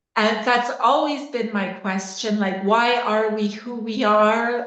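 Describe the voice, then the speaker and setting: A woman speaks at a fairly high pitch. Audible room echo surrounds her voice. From Canada, Waterloo Ontario. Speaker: osteopath and coach. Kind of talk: podcast interview. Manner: hesitant with many fillers.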